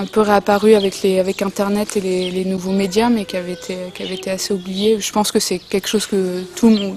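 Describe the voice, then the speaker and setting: A mid-pitched woman talking fairly quickly with hardly any pauses, flat monotone intonation, and noticeable background noise. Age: 20s. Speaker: photography student and artist. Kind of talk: artist interview. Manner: halting, many hesitations and repetitions.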